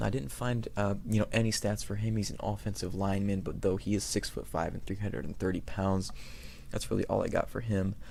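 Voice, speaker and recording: Quiet and fairly quick, a man's fairly low voice carries a dark, mellow tone and fairly even intonation amid audible room echo. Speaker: sports YouTuber. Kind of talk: casual commentary. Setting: home recording at night. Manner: quiet, keeping voice down; hesitant, many fillers.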